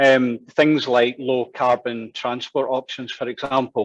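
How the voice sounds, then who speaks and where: With a Glaswegian accent, a man speaks at a medium pitch. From Scotland, Glasgow. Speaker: town planner. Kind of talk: presentation. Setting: online event.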